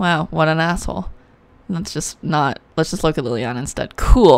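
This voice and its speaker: A woman's very deep, low pitch with vocal fry, lively intonation and a moderate pace. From Canada. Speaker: card game YouTuber. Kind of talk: unboxing video, casual chat. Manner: animated.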